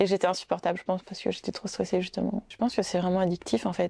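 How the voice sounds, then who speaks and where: Her tone dark and mellow, a woman speaks at a medium pitch with monotone, flat intonation over a quiet background, the sound dry and close with no echo. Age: 30s. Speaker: neurologist and jiu-jitsu competitor. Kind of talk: documentary interview.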